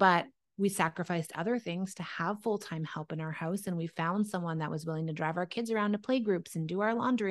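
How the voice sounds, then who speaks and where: A woman uses a normal speaking voice at a fairly low pitch, talking at a fairly quick pace with ordinary pitch variation against a quiet background. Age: 30s. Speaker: entrepreneur and former dietitian. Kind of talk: casual interview.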